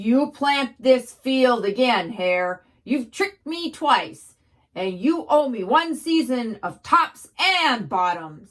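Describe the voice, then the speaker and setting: In a put-on character voice, a woman talks at a very slow pace with a high pitch. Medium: read story. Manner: slow, grumbling.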